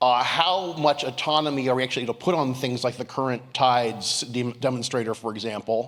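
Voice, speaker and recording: Talking at a fairly quick pace with hardly any pauses, a man holds a medium pitch. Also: ordinary pitch variation. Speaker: defense journalist asking a question. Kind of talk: audience question. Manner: loud.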